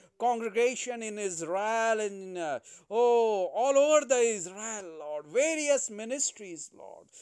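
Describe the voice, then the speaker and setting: Against a quiet background, a man talks at a fairly slow pace in an extremely high voice with ordinary pitch variation. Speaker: pastor. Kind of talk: fervent spoken intercessory prayer addressing God directly. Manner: halting, full of filler sounds 'uh, oh' between phrases. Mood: fervent, emotional prayer. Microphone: phone near.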